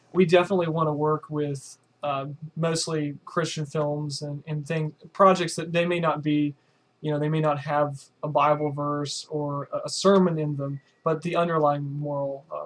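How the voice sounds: Speaking at a moderate pace, a man has a fairly high pitch with little pitch movement.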